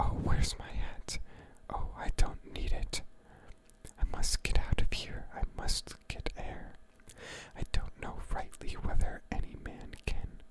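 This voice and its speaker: Someone whispers in a calm tone at a very slow pace over noticeable background noise. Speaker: ASMR creator. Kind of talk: poetry reading. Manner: soft-spoken, calm.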